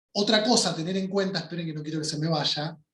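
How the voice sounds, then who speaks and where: With a Rioplatense accent, a man speaks at a high pitch and with lively intonation. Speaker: workshop teacher. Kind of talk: online workshop lecture.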